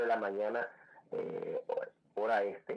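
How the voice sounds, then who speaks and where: A man talks fairly slowly while noticeable background noise plays behind him. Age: 50s. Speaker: salsa singer and DJ. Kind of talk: radio interview. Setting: radio studio.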